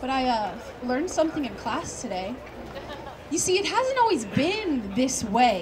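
A woman's high voice comes through with noticeable background noise behind it. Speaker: college student. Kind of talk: slam poetry performance. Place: open country. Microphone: pa.

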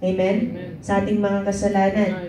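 In a Filipino accent, a woman talks in an animated tone over light background noise, with audible room echo. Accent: Filipino English and Tagalog. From Philippines. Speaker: prayer meeting leader. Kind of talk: fervent prayer and Bible teaching to a congregation. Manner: fervent, animated, call-and-response with 'Amen'; warm, exhortative, preacher-like. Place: church.

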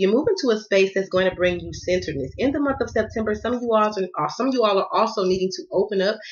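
A woman speaks at a very fast pace with a medium pitch. Her pitch varies in an ordinary way, and the background is quiet. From US South. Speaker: tarot card reader. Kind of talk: tarot reading. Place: home room. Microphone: phone near.

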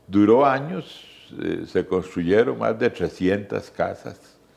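A man talks with vocal fry and very wide swings in pitch. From Costa Rica, San José. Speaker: journalist and radio veteran. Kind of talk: interview. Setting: at his home. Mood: warm, reminiscing. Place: home room. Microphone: lapel.

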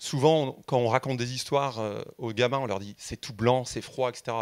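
A man's fairly slow speech comes through against a quiet background. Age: 50s. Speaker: audience member. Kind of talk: audience question. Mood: earnest, reflective. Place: hall. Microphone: handheld.

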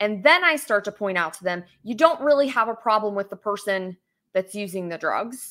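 With an American accent, a woman at medium pitch speaks at a fairly quick pace, her bright, sharp tone carrying lively intonation and big swings in loudness over a quiet background. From West Virginia. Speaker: political candidate and lawyer; candidate, lawyer. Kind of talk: interview. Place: home room. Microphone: webcam.

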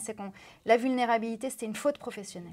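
Fairly even intonation in a woman's voice pitched fairly high. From France. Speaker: former TV news presenter; TV news presenter. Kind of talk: interview. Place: studio. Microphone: lapel.

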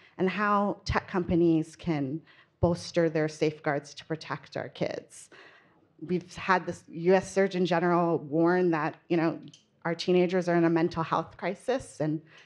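A woman has an ordinary speaking voice, fairly low in pitch. She talks at a fairly slow pace against a quiet background. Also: fairly even intonation. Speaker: panel moderator, reporter. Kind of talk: panel introduction. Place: hall. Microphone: handheld.

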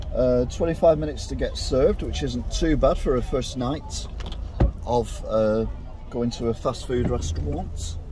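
Against noticeable background noise, a man speaks at a moderate pace in a dry sound with no echo. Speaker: food reviewer vlogger. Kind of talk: casual vlog chat. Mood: chatty, mildly excited. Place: car. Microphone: phone near.

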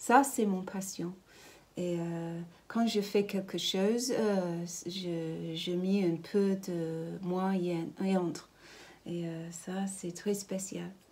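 Very slowly, a woman with a British accent speaks in a dark, mellow tone at a medium pitch. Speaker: ceramicist. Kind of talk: interview. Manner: halting. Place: workshop. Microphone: phone near.

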